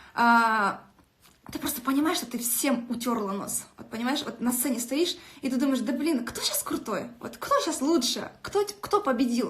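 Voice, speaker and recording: An animated tone over noticeable background noise. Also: woman, high pitch for a woman, ordinary pitch variation. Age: 20s. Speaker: network marketing director. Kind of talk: motivational live stream. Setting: live video stream. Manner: fast.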